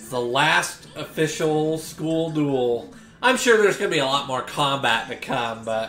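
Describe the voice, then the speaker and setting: Speaking at a fairly slow pace, a man is heard with audible room echo and light background noise. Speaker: anime reaction creator. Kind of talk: reaction commentary. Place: home room.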